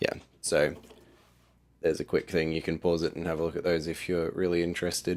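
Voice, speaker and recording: Quiet, fairly quick speech from a man with a very deep, low pitch, monotone, flat intonation and long, frequent pauses, on a very clean recording with a silent background. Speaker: app developer vlogger. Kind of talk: casual video diary walkthrough. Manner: hesitant, filler-heavy.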